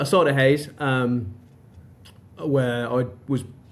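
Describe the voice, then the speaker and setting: A man with a fairly high-pitched voice talks against noticeable background noise. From northern England, Darlington. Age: 40s. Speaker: recruitment company director. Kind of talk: podcast interview. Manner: repetitive false starts.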